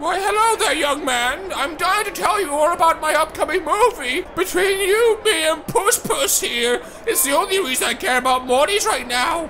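Over clear background noise, a put-on character voice runs at an extremely high pitch and a moderate pace. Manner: sweet, cooing, theatrical.

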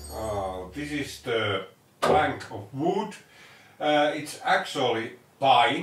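Audible echo fills the room around a man's voice. Some light noise sits in the background. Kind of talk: tutorial. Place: workshop.

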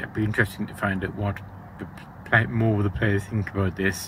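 Noticeable background noise accompanies a man speaking in a monotone, flat intonation. The sound is dry, with no echo. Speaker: event vlogger. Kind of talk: casual vlog chat. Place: tent. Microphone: phone near.

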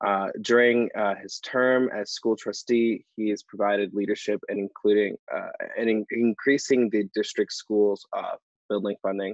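A man with a fairly low voice talks at a moderate pace and fairly even intonation, the sound dry with no echo against a quiet background. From Ontario, Canada. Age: young. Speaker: youth advocate and co-host; co-host. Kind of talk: event hosting. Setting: video call. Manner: halting. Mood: calm, hesitant with fillers. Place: home room. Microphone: earbuds.

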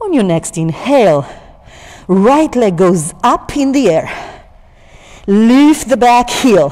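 Against a quiet background, a woman with a fairly high pitch and a warm tone talks at a very slow pace, leaving long, frequent pauses. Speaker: yoga teacher. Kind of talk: yoga class instruction. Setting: studio. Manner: calm, soothing; warm, lightly humorous. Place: gym.

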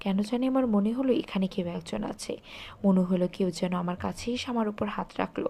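Putting on a shaky character voice, a woman speaks at a moderate pace and medium pitch with ordinary pitch variation. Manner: trembling, frightened.

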